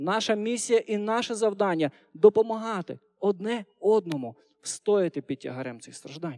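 A man speaks in a high voice, recorded with a dry, close sound and no echo. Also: lively intonation, moderate pace, big swings in loudness. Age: 30s. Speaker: preacher. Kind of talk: sermon. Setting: church.

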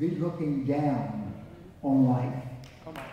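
A man talks in an animated tone against strong room echo. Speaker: preacher. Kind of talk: sermon. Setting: church with congregation. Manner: animated, fervent preaching with repetition and call-and-response; rising, rhythmic, emphatic. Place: church. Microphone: camera far.

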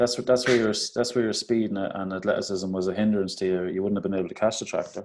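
In an Irish Midlands accent, a man talks at a very fast pace with a fairly low pitch and fairly even intonation. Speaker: podcast host, primary teacher. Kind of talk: casual chat.

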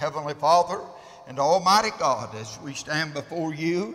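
With ordinary pitch variation, a man speaks at a fairly slow pace. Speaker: preacher. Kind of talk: sermon. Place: church.

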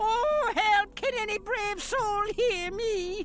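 Loud background noise sits under a put-on character voice with an extremely high pitch. The delivery is very slow. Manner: crying for help, pleading.

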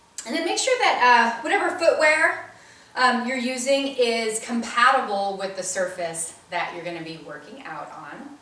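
A woman speaks at a fairly slow pace with very wide pitch swings, and the room echo is audible. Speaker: fitness instructor. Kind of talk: workout intro instructions. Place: home room. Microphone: camera far.

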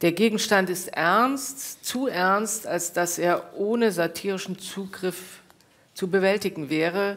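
Pitch is medium for this woman, varying in an ordinary way. She talks very slowly. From East Germany. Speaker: author and professor; professor. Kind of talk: reading aloud. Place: hall.

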